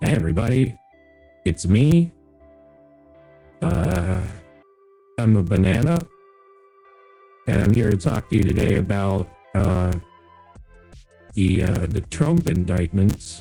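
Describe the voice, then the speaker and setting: A put-on character voice at a fairly slow pace, with faint music in the background. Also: man, very deep, low pitch for a man. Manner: silly, goofy, mock-serious.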